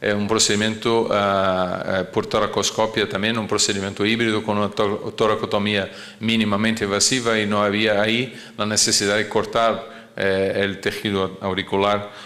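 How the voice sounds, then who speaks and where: Speaking in a Portuguese accent, a man with a fairly low pitch keeps a moderate pace, a flat monotone and very even loudness, and audible room echo surrounds him. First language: Portuguese (speaking Spanish). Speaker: cardiologist. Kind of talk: lecture. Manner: halting, many fillers and repetitions.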